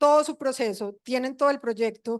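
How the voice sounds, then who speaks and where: The background is quiet. A woman speaks at a high pitch and a fairly slow pace. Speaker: information designer and guest lecturer. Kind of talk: conference lecture.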